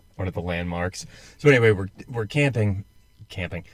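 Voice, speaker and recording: A man with an American accent talks at a fairly low pitch. His recording is very clean, with a silent background. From United States. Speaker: podcast co-host, military veteran. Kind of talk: casual chat.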